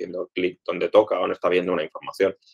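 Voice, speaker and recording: A man talking at a very fast pace, dry and close with no echo. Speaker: podcast co-host, online shop owner. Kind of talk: casual chat.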